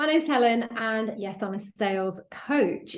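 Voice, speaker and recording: A woman speaks with a British accent and ordinary pitch variation. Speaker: sales coach. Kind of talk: podcast interview. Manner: animated.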